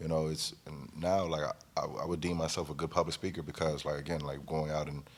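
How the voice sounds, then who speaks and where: A man speaks at a fairly quick pace. His pitch is very deep and low, and his intonation is monotone and flat. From Gardena, California (Los Angeles area). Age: 30s. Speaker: music engineer and executive. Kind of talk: casual chat.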